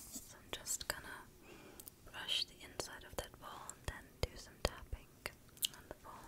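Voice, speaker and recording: A woman speaks at a moderate pace. Loud background noise runs underneath her. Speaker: ASMR creator. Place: home room.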